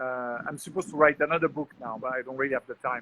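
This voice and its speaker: This man has a bright, sharp tone and a French accent. The sound is dry and close, with no echo. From France. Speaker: entrepreneur and public speaker. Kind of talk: casual interview.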